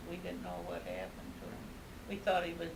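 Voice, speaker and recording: A woman speaks over noticeable background noise. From Dayton, a small town near Ottawa. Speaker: grandmother. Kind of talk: interview answer.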